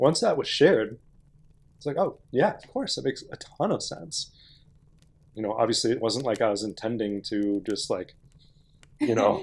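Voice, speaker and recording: Pausing often and at length, a man speaks at a moderate pace while his loudness swings widely. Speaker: podcast co-host. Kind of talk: casual chat. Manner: halting.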